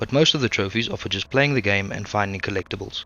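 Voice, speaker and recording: Music runs in the background. A man speaks very fast, his pitch varying in an ordinary way. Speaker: gaming YouTuber. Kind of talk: video game commentary narration. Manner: humorous, casual.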